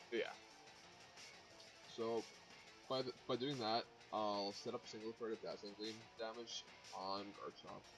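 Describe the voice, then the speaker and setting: Music plays behind a man with a medium-pitched, monotone, flat voice. He talks at a fairly slow pace with long, frequent pauses. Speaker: competitive video game player. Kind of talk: gameplay commentary.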